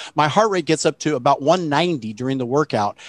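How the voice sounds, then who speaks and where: The man's voice sounds dry, with no echo. The background is quiet. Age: 60s. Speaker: plant-based health educator and webinar host; plant-based health educator, webinar host. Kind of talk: live webinar panel discussion. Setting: video call. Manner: animated. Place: home room. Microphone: headset.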